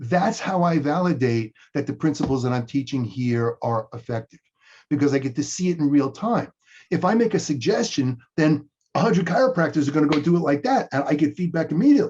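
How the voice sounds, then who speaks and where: A man talks fairly quickly in a somewhat breathy voice, his intonation lively. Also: fairly high pitch for a man. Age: 60s. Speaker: chiropractor and coach. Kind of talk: interview. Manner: repeats words at starts of sentences.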